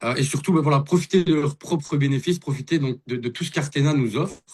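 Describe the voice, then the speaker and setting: Somewhat breathy, this man's voice sits fairly high in pitch. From Belgium. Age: 30s. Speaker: investor and network marketer. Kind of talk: testimony. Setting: video call.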